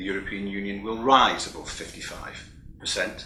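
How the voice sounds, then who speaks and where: Audible room echo surrounds a man speaking with a British accent at a fairly low pitch. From United Kingdom. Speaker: keynote speaker, EU vocational training official. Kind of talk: keynote speech. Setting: recorded remotely, not present in person. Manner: formal.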